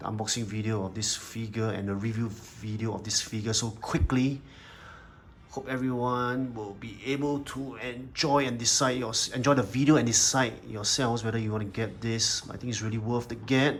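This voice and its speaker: Audible room echo surrounds a man speaking at medium pitch with fairly even intonation. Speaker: toy collector and reviewer. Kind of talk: product review video. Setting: indoors under natural daylight. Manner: fast.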